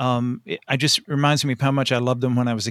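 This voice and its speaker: A man's unremarkable speaking voice with an American accent, medium pitch and ordinary pitch variation at a fairly quick pace, dry and close with no echo, on a very clean recording with a silent background. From rural Tennessee, US South. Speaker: writer and anthology editor. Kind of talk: casual interview.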